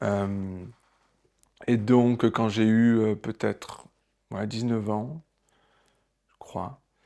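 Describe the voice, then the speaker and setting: With long, frequent pauses, a man talks at a very slow pace in a dark, mellow tone, his fairly low pitch following fairly even intonation. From southern France, Marseille. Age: 40s. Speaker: theatre director. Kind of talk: personal testimony. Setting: at home. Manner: hesitant, many filler sounds.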